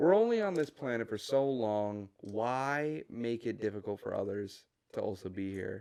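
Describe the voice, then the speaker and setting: A man speaks in a dark, mellow tone, keeping a moderate pace. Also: medium pitch for a man, ordinary pitch variation. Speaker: podcast co-host. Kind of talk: casual chat. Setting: recording while building Lego. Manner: stuttering.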